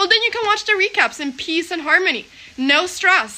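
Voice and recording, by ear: A woman speaks at a fairly quick pace. Her tone is bright and sharp, with ordinary pitch variation.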